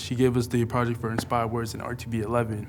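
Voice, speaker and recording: A man's very fast, flat, monotone delivery, with audible room echo. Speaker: college radio student. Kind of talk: interview testimony. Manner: halting.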